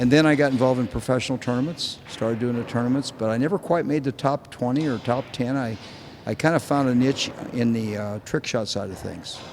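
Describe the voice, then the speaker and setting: A man with an American accent talks at a very fast pace. His pitch is medium and his intonation fairly even. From Indiana, US Midwest. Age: 70s. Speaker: pool trick shot performer. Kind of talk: interview answers and show demonstration.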